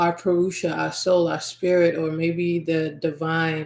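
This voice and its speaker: A woman with an American accent speaks in a fairly low-pitched voice. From US, Nigerian American family. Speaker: podcast host and spiritual healer. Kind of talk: podcast monologue.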